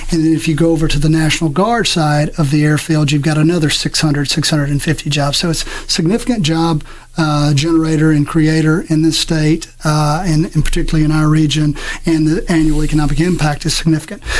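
A man speaks with an American accent, with fairly even intonation and very even loudness. Noticeable background noise sits behind him. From South Mississippi, US. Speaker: airport executive director. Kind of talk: radio interview.

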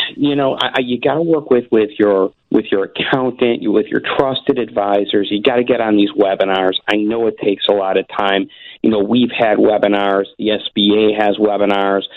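A man talks in a fairly low pitch with ordinary pitch variation and very even loudness. It's an ordinary speaking voice. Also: moderate pace. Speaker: small business advocate. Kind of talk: radio interview.

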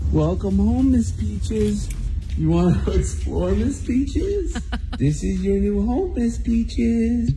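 A put-on character voice comes through at a fairly slow pace against clear background noise. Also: man. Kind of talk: baby-talk. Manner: cooing, sing-song.

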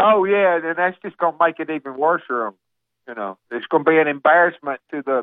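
Speaking at a fairly quick pace with a Southern US accent, a man uses lively intonation. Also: fairly high pitch for a man. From Alabama. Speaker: caller. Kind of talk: casual chat. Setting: phone call.

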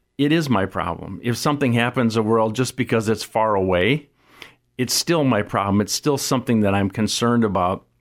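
A man's medium-pitched voice with an American accent, fairly quick, very even in loudness and ordinary in pitch variation, on a very clean recording with a silent background. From US Midwest, South Dakota. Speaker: nonprofit founder and author. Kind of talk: radio interview. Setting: studio.

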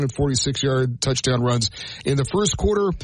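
A man speaks at a medium pitch. He has a plain, everyday voice. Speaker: sports news anchor. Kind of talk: news reading. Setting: studio.

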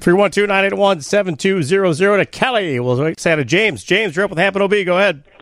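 A man with a high pitch talks at a moderate pace with hardly any pauses and ordinary pitch variation. His loudness stays very even against noticeable background noise. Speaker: radio host. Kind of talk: post-game sports call-in radio talk. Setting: radio studio.

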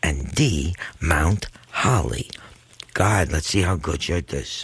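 Through noticeable background noise, a man speaks very slowly in a very deep, low pitch with lively intonation. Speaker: radio show guest co-host reading trivia questions. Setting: radio studio. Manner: calm, relaxing delivery.

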